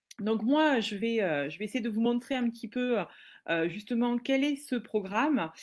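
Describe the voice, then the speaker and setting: Her pitch fairly high and its variation ordinary, a woman speaks at a moderate pace over a quiet background. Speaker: teacher and trainer. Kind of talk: webinar presentation. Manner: hesitant, many fillers.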